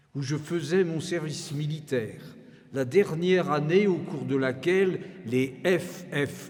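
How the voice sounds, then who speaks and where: A man talks at a very slow pace in a fairly high pitch with ordinary pitch variation. Audible room echo and noticeable background noise surround his voice. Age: 80s+. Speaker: organist and retired professor. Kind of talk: concert introduction speech. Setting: church with audience. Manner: formal.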